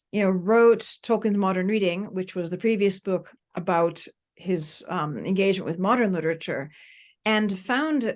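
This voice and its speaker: This is a plain, everyday voice with an American accent, heard against a quiet background. It moves at a moderate pace with ordinary pitch variation. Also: woman. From United States. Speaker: professor and author. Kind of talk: podcast interview.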